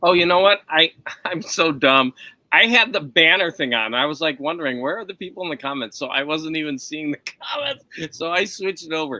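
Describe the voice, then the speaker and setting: A man with an unremarkable speaking voice talks at a fairly quick pace and fairly high pitch, with ordinary pitch variation and a dry, close sound with no echo. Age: 50s. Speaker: live stream host, comic collector. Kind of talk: casual chat. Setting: live stream video call.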